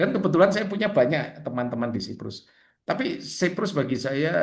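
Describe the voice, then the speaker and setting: Audible room echo around a man with very wide pitch swings at a moderate pace. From Indonesia. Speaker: Orthodox priest teaching catechism. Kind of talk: catechism class over video call. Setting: video call. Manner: casual, conversational.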